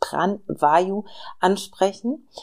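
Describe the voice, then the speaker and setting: A woman's voice at a medium pitch. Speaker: podcast host and meditation guide. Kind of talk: guided meditation. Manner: slow, soft, soothing, calm pacing; gentle, warm, intimate.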